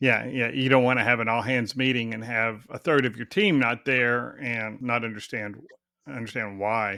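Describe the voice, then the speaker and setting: A man speaks with a Texan accent and fairly even intonation. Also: medium pitch for a man, moderate pace. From Texas. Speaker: podcast host, HR company president. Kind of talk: interview. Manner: casual.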